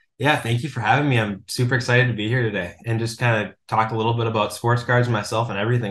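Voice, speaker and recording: Someone with an Upper Midwest accent talks very fast. The delivery is flat and monotone. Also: man. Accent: Upper Midwest American. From Minnesota, US Midwest. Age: 20s. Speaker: sports card collector and author. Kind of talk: podcast interview.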